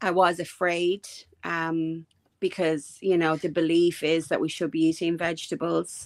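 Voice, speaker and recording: In a very clean recording with a silent background, a woman talks at a fairly low pitch. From Ireland. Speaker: guest sharing diet experience. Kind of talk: casual interview chat.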